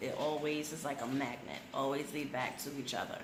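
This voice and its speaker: Her voice is very deep and low for a woman. Room echo is audible, and background noise is noticeable. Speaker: YouTube vlogger. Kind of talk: casual chat. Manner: soft-spoken.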